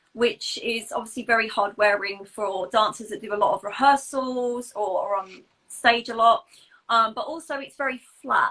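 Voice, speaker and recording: Bright and sharp in tone, a woman with an English accent speaks at fairly high pitch with big swings in loudness. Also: ordinary pitch variation, moderate pace. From England. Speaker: pointe shoe fitter. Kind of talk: casual interview chat about products.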